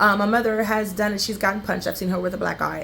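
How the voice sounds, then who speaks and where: A woman's voice at a medium pitch. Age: 40s. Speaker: author and security guard. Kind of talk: casual vlog monologue. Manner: halting, many fillers.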